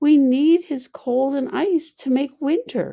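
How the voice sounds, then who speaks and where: A woman uses a put-on character voice, pitched high and sounding sad. Her pace is fairly slow. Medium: read story. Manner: soft, sad.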